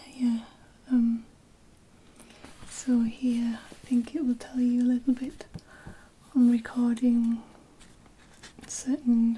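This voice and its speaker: A soft-spoken woman at a high pitch, very slow and flat, with long, frequent pauses. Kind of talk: ASMR unboxing, soft-spoken.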